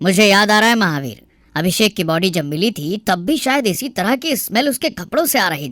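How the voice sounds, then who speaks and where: A cartoonish character voice at a middle pitch, very fast with hardly any pauses, on a very clean recording with a silent background. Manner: authoritative.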